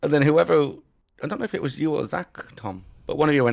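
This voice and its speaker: With an English accent, a man talks at a very fast pace. His intonation is lively. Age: 30s. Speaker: podcast co-host. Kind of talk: casual chat.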